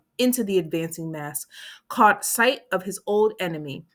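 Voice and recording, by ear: Someone reading aloud in a natural voice over a quiet background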